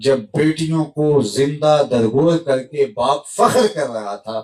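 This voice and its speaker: A man talks with an unremarkable speaking voice at a fairly high pitch. His intonation is lively. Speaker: Islamic preacher. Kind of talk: religious sermon (bayan).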